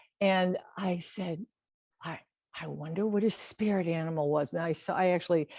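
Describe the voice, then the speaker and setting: A woman's fairly low, dark, mellow voice at a moderate pace, with ordinary pitch variation and a dry, close sound with no echo. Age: 70s. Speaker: artist. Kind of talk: interview. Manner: halting, many false starts.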